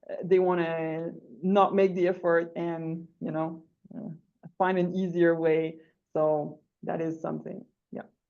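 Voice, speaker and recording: A woman with a Quebec accent speaks fairly slowly with long, frequent pauses, her fairly low voice dark and mellow in tone and her intonation monotone and flat. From Quebec, Rimouski. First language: French. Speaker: English teacher. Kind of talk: online workshop discussion.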